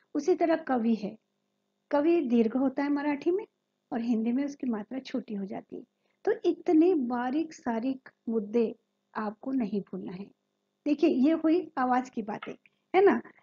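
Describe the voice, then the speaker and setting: A woman's high voice with a dark, mellow tone, lively intonation, big swings in loudness and long, frequent pauses, in a dry, close sound with no echo. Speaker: former radio announcer and media trainer. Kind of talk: training lecture.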